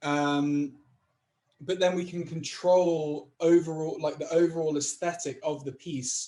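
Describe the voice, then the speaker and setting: A man's dark, mellow tone with fairly even intonation, in a northwest English accent. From Chester, England. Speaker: creative technologist. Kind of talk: interview answer. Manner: casual, hesitant.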